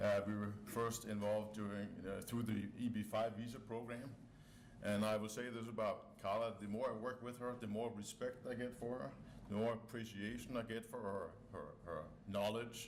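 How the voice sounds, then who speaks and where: With a Danish accent, a man speaks at a medium pitch and moderate pace in a monotone, flat intonation, with audible room echo. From Denmark, Copenhagen. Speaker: company board member, scientist. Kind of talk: press conference speech.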